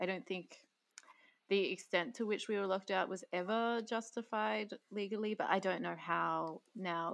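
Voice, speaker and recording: A woman speaks with an Australian accent at a fairly quick pace. Her pitch variation is ordinary. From Queensland, Australia (Bundaberg). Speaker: podcast host. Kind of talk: interview.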